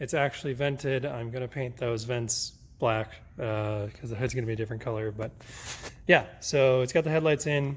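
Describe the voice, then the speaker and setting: A somewhat breathy man's voice of medium pitch with fairly even intonation. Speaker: drift car builder and YouTuber. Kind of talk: casual vlog walkaround. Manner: casual, many filler words; fast.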